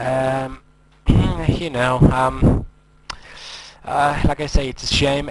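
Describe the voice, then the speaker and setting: A man with a non-native accent speaks slowly at a medium pitch, keeping a fairly slow pace. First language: not English. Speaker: forex trading educator. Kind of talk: screen-recorded trading tutorial. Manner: hesitant, many fillers.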